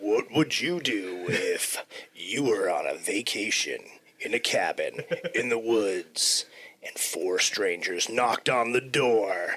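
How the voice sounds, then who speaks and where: A man's put-on character voice, medium in pitch and fairly slow in pace. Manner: dramatic, suspenseful.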